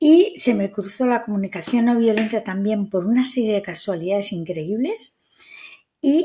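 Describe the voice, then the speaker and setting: A woman's fairly high, somewhat breathy voice with a dark, mellow tone, lively intonation and a fairly slow pace. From Spain. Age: 60s. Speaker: psychotherapist. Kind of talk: interview conversation.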